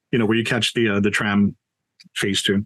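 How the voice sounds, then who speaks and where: This man speaks with a Hawaiian accent. His pitch is fairly low. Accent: Hawaiian local English. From Hawaii, Waianae, Oahu. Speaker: storyteller and tour business owner. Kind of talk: interview Q&A on video call. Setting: video call. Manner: conversational, hesitant fillers.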